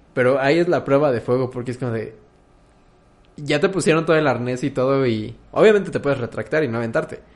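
Pitched fairly high, a man races along at a very fast pace. His pitch variation is ordinary. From Mexico. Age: 20s. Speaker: podcast host. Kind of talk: casual chat.

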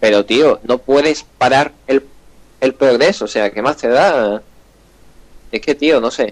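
Very slowly, with long, frequent pauses, a man speaks at medium pitch with ordinary pitch variation. The sound is dry and close, with no echo. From Andalusia, Spain. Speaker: gaming podcast host. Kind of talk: casual chat.

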